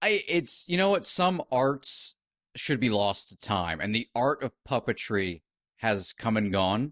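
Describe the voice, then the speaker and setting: A man at a medium pitch makes very wide pitch swings, in a dry, close sound with no echo. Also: fairly slow pace. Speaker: podcast co-host. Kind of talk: casual podcast talk.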